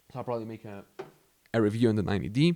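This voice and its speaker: Dark and mellow in tone, the voice carries a Spanish accent and ordinary pitch variation. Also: man. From Mexico. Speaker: YouTuber. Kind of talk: casual talk to camera. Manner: casual, conversational.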